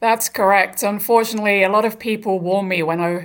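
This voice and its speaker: A woman with a southern English accent speaks at a fairly quick pace and fairly even intonation. The recording is very clean and the background silent. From England, Brighton. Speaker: author and sports professional. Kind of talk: radio interview.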